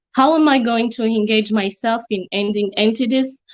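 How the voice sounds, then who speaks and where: Her voice fairly high and her intonation fairly even, a woman talks at a moderate pace. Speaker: youth advocate. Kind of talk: conference presentation. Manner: halting, with fillers and self-corrections.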